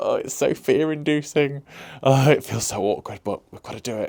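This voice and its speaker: Speaking at a moderate pace, a man has a British accent. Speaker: allotment gardener, YouTuber. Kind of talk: casual vlog talk to camera. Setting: outdoors on allotment.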